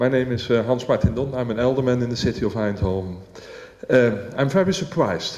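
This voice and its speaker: Lively in intonation, a man with a Dutch accent speaks at a medium pitch. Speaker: local politician. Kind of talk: public meeting comment. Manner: halting.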